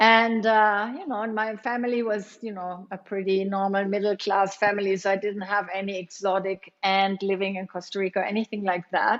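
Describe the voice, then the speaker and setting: A woman with a German accent talks at a fairly quick pace with hardly any pauses. Her medium-pitched voice stays monotone and flat. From Germany. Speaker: yoga teacher and studio owner. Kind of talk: interview.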